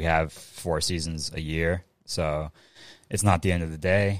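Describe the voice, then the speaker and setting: A man speaks in a very deep, low voice at a moderate pace. His intonation is monotone and flat, on a very clean recording with a silent background. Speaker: guest, flag football league owner. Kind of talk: casual interview chat. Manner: laid-back, filler-heavy.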